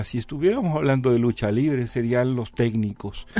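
Pitch varies in an ordinary way as the man talks in a dark, mellow tone. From Mexico, Jalisco. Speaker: researcher and author. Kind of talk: interview.

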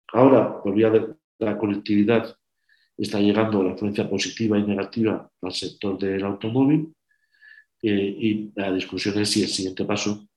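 In an ordinary speaking voice, a man talks at a moderate pace with a fairly low pitch and fairly even intonation. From Spain, Burgos. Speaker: patent and industry executive. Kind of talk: online webinar presentation.

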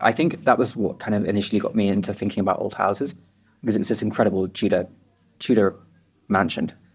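A man with a southern English accent, very fast pace, long and frequent pauses, fairly low pitch and ordinary pitch variation. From England, suburban town near London. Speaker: artist and designer. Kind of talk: casual chat. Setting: restaurant.

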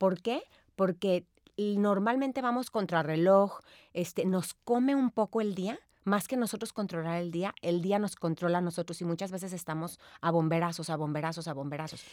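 A woman's medium-pitched voice at a moderate pace, with ordinary pitch variation and an ordinary speaking voice. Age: 40s. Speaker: time management expert and seminar speaker. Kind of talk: interview.

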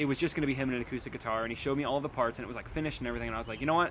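Fairly level intonation marks this man's speech. His pitch stays mid-range. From Wisconsin. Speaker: band musician and recording engineer. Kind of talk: casual interview.

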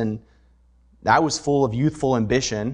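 A man with a normal speaking voice talks at a moderate pace and medium pitch, with ordinary pitch variation, against a quiet background. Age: 30s. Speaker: pastor. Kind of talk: sermon.

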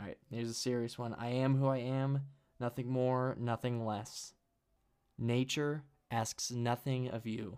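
The man talks at a fairly slow pace and medium pitch. His intonation is monotone and flat. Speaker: solo podcast host. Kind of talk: casual solo monologue. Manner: laughs often.

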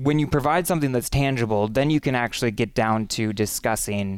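With an American accent, a man talks at a moderate pace in an unremarkable speaking voice, his pitch medium and its variation ordinary. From Western Wisconsin, Menominee. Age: young. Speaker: congressional candidate. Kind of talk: interview.

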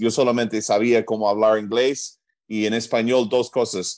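A man speaks with an American accent. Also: very clean recording, silent background. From US Northeast, New Jersey. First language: English (speaking Spanish). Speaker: chiropractor. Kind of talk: interview.

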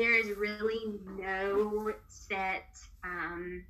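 A woman speaks in a bright, sharp tone with monotone, flat intonation. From US South. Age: 20s. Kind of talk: interview.

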